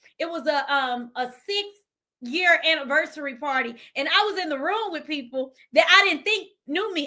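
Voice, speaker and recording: A woman projects a high, bright, sharp voice. Her delivery is animated, with lively intonation. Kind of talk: motivational talk. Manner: loud.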